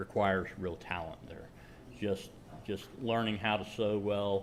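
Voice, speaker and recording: The man's voice sits at a fairly low pitch. His pace is moderate. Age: 60s. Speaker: maker presenting a leather project. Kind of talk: show-and-tell presentation with Q&A. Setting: meeting room with live audience, streamed. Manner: halting, many fillers and repeats.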